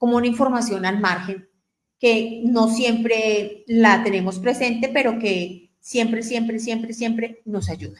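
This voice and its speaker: A woman's fairly high pitch at a fairly slow pace, with fairly even intonation and a normal speaking voice. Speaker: radio host. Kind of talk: radio talk on family topics.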